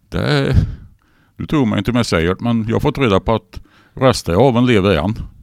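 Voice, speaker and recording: Using vocal fry at medium pitch, a man talks at a fairly quick pace with lively intonation. Long, frequent pauses break up his speech. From Sweden, northern Värmland (Torsby). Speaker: car and rock enthusiast, radio presenter. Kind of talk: casual interview. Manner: halting.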